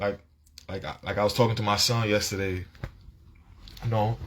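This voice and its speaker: Animated in tone, a man speaks in a somewhat breathy voice. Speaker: vlogger. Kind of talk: casual monologue.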